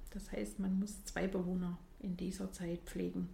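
Noticeable background noise is heard behind a woman. She talks at a fairly slow pace. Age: 40s. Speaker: nurse and training supervisor. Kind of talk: interview.

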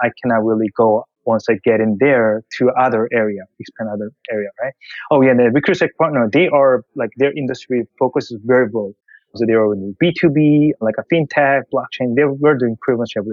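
With a Korean accent, a man speaks at a fairly quick pace and uses ordinary pitch variation. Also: medium pitch for a man. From South Korea. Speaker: tech investor. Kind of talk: interview. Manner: halting.

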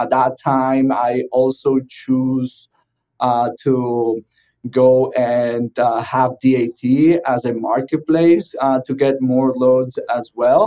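Speaking very slowly in a Spanish accent, this man has a dark, mellow tone and fairly even intonation. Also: medium pitch for a man. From Venezuela. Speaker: trucking tech company founder. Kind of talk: podcast interview. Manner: hesitant, many fillers.

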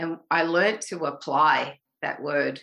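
A woman with an Australian accent speaks in a bright, sharp tone against a quiet background. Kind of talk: casual interview chat.

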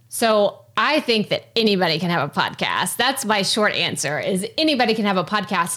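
In a Texas accent, a woman speaks at a moderate pace. Her voice is fairly high, with a bright, sharp tone. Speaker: podcasting coach. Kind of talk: interview, casual conversation.

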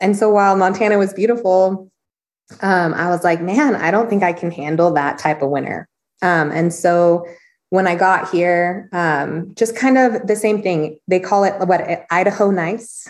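Against a quiet background, a woman talks in a normal speaking voice with a medium pitch and ordinary pitch variation at a moderate pace. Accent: American. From California. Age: 30s. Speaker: chiropractor. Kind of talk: casual chat.

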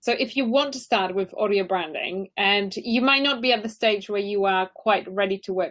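At a moderate pace, a woman talks at a medium pitch with ordinary pitch variation in an unremarkable speaking voice. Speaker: audio branding company CEO. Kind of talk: interview advice. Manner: laughs often.

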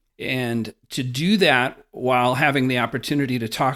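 Here is a man with an American accent and an ordinary speaking voice. His pitch is medium with ordinary variation, on a very clean recording with a silent background. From Wisconsin, rural. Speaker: investment fund director. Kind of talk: interview.

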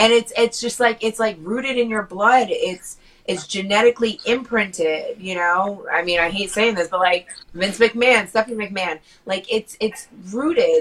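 With a normal speaking voice, a woman talks at a moderate pace, her pitch fairly high and ordinary in its variation. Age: 30s. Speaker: podcast co-host. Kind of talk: casual chat. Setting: studio.

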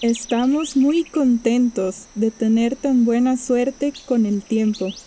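Very slowly and at a high pitch, a woman speaks with ordinary pitch variation against noticeable background noise. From Costa Rica. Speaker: storyteller sharing a personal travel story. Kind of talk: scripted narration.

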